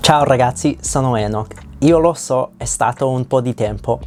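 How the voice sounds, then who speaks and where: A man's medium-pitched voice with a non-native accent, ordinary pitch variation and a moderate pace. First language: not Italian (speaking Italian). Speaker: language learner vlogger. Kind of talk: reading a personal script aloud. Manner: halting.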